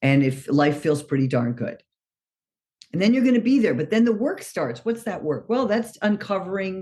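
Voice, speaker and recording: Speaking with an American accent at a moderate pace, a woman swings very widely in pitch. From New York City. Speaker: recovering alcoholic. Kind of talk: recovery meeting talk.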